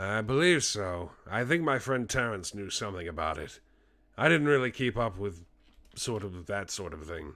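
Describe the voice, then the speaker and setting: A man's raspy, put-on character voice, fairly low in pitch, at a moderate pace. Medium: virtual streamer. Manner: measured, speculative.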